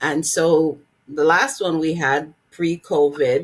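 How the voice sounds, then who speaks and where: This woman speaks with a very deep, low pitch. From Jamaica. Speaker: nurse and legal nurse consultant. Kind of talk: podcast interview.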